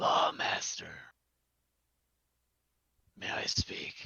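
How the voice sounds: A put-on character voice comes through in a whisper. It sounds raspy.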